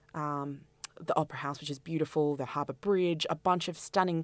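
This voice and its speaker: With an Australian accent, a woman speaks at a very deep, low pitch with ordinary pitch variation, in a very clean recording with a silent background. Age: 30s. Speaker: festival director and curator. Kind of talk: interview.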